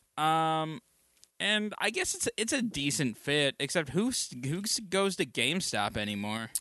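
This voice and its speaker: Fairly slow in pace, a man speaks at a fairly high pitch with very wide pitch swings, a bright, sharp tone and very even loudness. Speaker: podcast host. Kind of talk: casual chat. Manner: joking, bantering.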